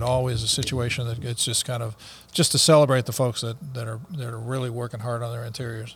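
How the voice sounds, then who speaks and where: Here a man at medium pitch talks at a very fast pace, somewhat breathy. His intonation is monotone and flat. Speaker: podcast co-host. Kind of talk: casual chat. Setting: studio.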